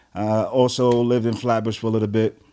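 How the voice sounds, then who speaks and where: With an American accent, a man speaks at a fairly quick pace in an unremarkable speaking voice, with a medium pitch and fairly even intonation. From New York City, Brooklyn (Crown Heights). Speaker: entrepreneur and youth football coach. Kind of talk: podcast interview. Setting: studio.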